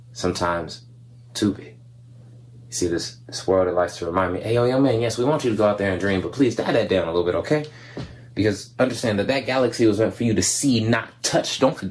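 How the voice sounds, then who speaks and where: The speech comes at a very fast pace. Pitch varies in an ordinary way. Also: man, fairly low pitch for a man. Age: young. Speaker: spoken word poet. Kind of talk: spoken word poetry performance. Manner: animated, conversational. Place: home room. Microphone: webcam.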